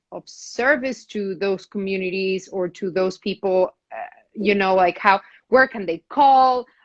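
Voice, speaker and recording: Speaking at a fairly slow pace, a woman has a non-native accent. Her pitch is medium, with ordinary variation. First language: not English. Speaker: actor and talk show host. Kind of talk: casual interview conversation. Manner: halting, many repetitions.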